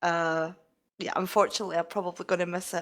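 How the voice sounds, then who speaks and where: A woman with a Scottish accent speaks at a very fast pace. Her pitch sits in the medium range. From Scotland. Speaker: game community member. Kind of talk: casual chat.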